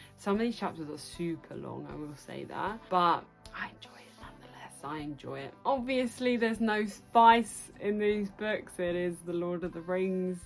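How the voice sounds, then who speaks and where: A woman speaks at a moderate pace with hardly any pauses, medium pitch and ordinary pitch variation. Her loudness swings widely over music in the background. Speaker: book vlogger. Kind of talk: casual talk to camera. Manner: chatty, enthusiastic.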